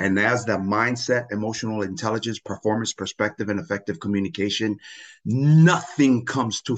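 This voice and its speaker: An energetic tone at a moderate pace, ordinary pitch variation, and a quiet background. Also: man. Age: 40s. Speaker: business coach and former football coach. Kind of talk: casual interview chat. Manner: energetic, motivational.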